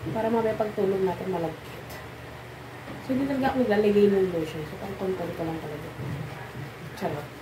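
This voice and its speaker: A soft-spoken woman talks at a very fast pace with long, frequent pauses, her medium pitch carrying lively intonation. Audible room echo and noticeable background noise fill the recording. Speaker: vlogger. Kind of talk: casual vlog talk.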